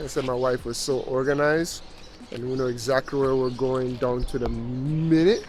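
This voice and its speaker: Over noticeable background noise, a man with a Jamaican accent speaks at a medium pitch with fairly even intonation. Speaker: travel vlogger. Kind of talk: casual chat.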